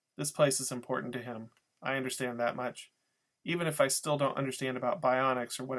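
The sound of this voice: An unforced reading voice with fairly even intonation. The background is quiet.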